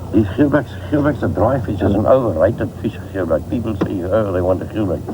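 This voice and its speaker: A fairly low-pitched man at a fairly quick pace, with audible room echo and noticeable background noise. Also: ordinary pitch variation. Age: 60s. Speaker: fisherman and boat designer. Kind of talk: casual chat.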